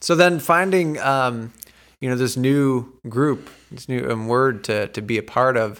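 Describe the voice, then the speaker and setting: This is a man with an American accent and a normal speaking voice, medium in pitch with ordinary variation. He speaks at a moderate pace on a very clean recording with a silent background. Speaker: podcast host and church teacher. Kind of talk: casual interview.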